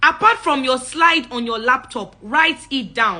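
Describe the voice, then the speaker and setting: A woman speaks in a high, raised and projected voice, animated in tone with lively intonation. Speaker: public speaking coach. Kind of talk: live-stream talk. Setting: livestream.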